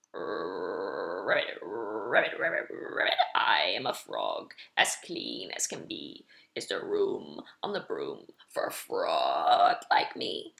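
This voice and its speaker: A man's croaky, put-on character voice, extremely high in pitch, at a very slow pace. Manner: polite.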